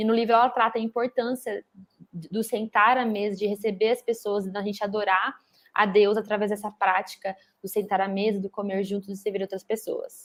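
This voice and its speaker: A woman of medium pitch speaks at a very fast pace in a monotone with flat intonation. The sound is dry and close, with no echo. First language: Portuguese. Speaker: book club host. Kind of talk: interview.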